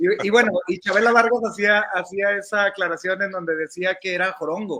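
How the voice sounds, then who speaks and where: A man's raised, projected voice, high in pitch, with fairly even intonation at a moderate pace. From northern Mexico, Coahuila (Monclova/Saltillo). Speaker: entertainment journalist. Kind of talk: casual interview conversation.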